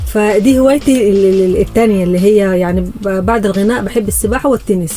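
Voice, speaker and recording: Music in the background behind a woman at medium pitch, speaking at a fairly quick pace with ordinary pitch variation. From Sudan. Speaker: singer. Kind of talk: interview. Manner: halting.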